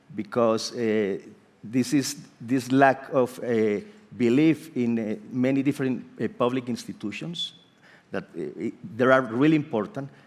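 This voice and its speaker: At a fairly slow pace, a man with a Spanish accent speaks at medium pitch with ordinary pitch variation. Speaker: architect and urban planning professor. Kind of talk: panel discussion. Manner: halting.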